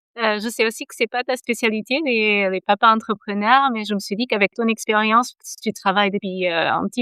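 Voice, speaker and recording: Her pitch is fairly high and her speech fairly quick. This woman keeps her intonation fairly even. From Portugal. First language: Portuguese (speaking French). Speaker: podcast host, coach for expectant fathers. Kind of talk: interview; scripted podcast intro.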